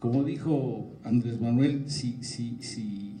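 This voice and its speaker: A man talks with fairly even intonation, and audible room echo surrounds his voice. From Mexico. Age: 70s. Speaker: forum speaker on public policy. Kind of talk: talk to students at a forum. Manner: halting, many fillers.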